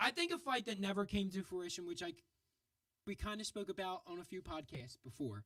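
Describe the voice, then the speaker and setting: A man speaks in a high voice with lively, bouncing intonation. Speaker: combat sports podcast host. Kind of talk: casual chat. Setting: studio. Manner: halting, repeated words.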